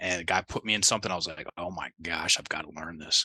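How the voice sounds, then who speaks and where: Bright and sharp in tone, a man with a slight Southern US accent talks at a fairly quick pace, the sound dry and close with no echo over a quiet background. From US South. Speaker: life coach. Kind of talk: interview. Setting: remote call.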